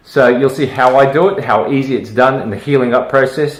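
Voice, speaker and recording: Noticeable background noise runs behind a man who talks at a moderate pace. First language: Malay. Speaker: dermatologist. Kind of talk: tutorial. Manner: casual, hesitant with many fillers.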